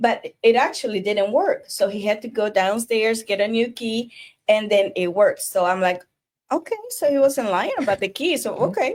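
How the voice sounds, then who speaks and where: A woman with a Spanish accent at a moderate pace, her pitch varying in an ordinary way. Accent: non-native Spanish-accented English. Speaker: divorce coach. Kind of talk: casual conversational storytelling.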